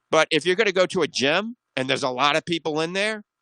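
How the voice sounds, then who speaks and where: A man with a bright, sharp tone talks at a fairly quick pace in a dry, close sound with no echo and a quiet background. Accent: American. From US South, New Orleans. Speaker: radio doctor show host. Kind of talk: radio call-in advice show. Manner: fast.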